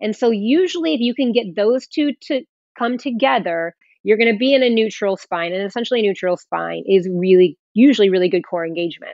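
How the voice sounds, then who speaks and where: Using a normal speaking voice, a woman at medium pitch talks at a fairly quick pace with lively intonation. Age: 40s. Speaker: fitness trainer. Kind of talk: interview.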